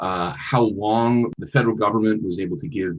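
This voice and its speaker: A man's fairly low-pitched voice at a moderate pace. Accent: northern Minnesota. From US Midwest, northern Minnesota. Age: 20s. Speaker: nonprofit founder. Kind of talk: interview.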